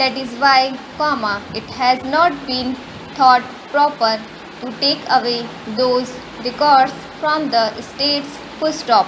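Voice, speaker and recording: A woman's high voice at a very slow pace, with long, frequent pauses, fairly even intonation and noticeable background noise. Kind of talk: shorthand dictation read at 100 words per minute. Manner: slow, even dictation pace with spoken punctuation.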